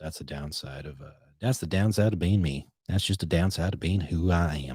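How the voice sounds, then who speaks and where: With an American accent, a man speaks fairly quickly using lively intonation on a very clean recording with a silent background. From Boston. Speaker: podcast host. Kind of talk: casual solo podcast chat. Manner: casual, rambling with self-corrections.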